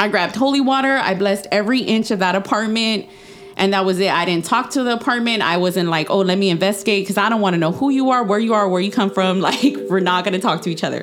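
Amid noticeable background noise, a woman at medium pitch talks at a very fast pace with ordinary pitch variation and very even loudness. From Texas. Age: 30s. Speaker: podcast guest. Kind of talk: casual chat, telling personal ghost stories.

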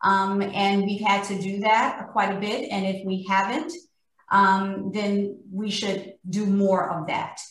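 A woman speaks at a very slow pace, her voice somewhat breathy and her intonation fairly even. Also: medium pitch for a woman. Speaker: corporate vice president. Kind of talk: panel discussion. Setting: video call.

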